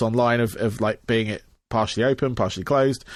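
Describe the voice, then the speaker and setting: In a very clean recording with a silent background, a man with an English accent speaks at a medium pitch and a fairly quick pace with ordinary pitch variation. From England. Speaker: podcast host. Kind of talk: casual interview chat. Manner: halting, many fillers.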